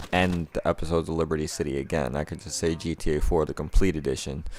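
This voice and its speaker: With a very deep, low pitch and vocal fry, a man talks at a very fast pace using fairly even intonation. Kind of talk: casual gaming commentary.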